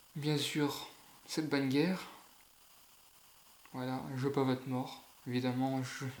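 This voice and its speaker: Monotone, flat intonation marks this man's speech, with long, frequent pauses. Audible room echo is present. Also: medium pitch for a man. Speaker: YouTuber. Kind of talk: casual vlog rant. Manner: halting.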